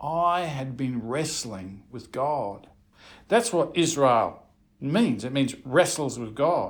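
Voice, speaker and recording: Very wide pitch swings mark this man's speech, which moves at a very slow pace. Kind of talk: first-person biblical storytelling.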